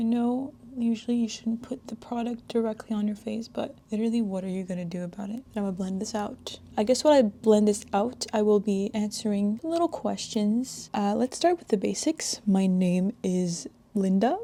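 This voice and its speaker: This woman's fairly high, somewhat breathy voice has a dark, mellow tone and ordinary pitch variation. She speaks at a moderate pace with hardly any pauses and big swings in loudness. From Quebec, Canada. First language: French. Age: 20s. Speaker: beauty vlogger. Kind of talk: makeup tutorial with casual chat. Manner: casual, chatty.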